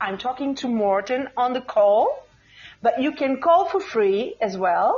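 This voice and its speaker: The speaker talks at a fairly slow pace with a Portuguese accent. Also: woman. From Portugal. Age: 40s. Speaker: radio show host. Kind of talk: casual chat on live call-in show. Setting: live podcast call-in. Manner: animated.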